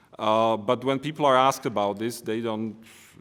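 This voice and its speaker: At a fairly quick pace, a man with a Slovak accent talks at a medium pitch. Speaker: economist and politician. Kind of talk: conference presentation. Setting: conference. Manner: hesitant, with fillers and restarts.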